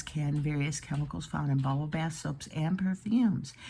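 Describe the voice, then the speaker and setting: Pitch rises and falls in an ordinary way. There is a somewhat breathy quality to the voice. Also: woman. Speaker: video creator. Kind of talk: screen-share commentary reading aloud.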